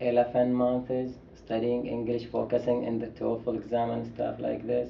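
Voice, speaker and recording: Over clear background noise and a room echo you can hear, the male speaker keeps a medium tempo. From Saudi Arabia. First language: Arabic. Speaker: international student. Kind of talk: interview.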